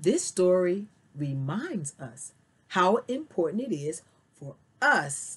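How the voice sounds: Someone reads in a natural reading voice.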